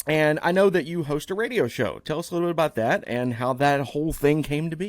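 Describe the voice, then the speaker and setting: At a fairly quick pace, a man with an unremarkable speaking voice talks in a fairly high pitch with ordinary pitch variation. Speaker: podcast host, former radio host. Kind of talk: casual interview chat. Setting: video podcast recording.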